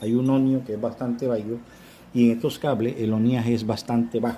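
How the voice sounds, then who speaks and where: A man talks at a fairly quick pace in a dark, mellow tone at a medium pitch. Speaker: auto electrics instructor. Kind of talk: tutorial. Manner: repetitive, halting.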